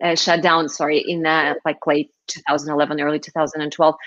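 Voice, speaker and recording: A woman with a Russian accent speaks at a fairly low pitch. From Moscow, Russia. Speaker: startup founder. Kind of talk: interview.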